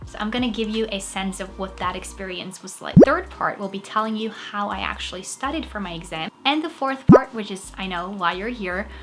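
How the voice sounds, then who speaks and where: Fairly quick delivery with hardly any pauses, ordinary pitch variation, big swings in loudness, and noticeable background noise. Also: woman, medium pitch for a woman. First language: Norwegian. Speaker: actress and fitness vlogger. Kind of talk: tutorial. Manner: casual.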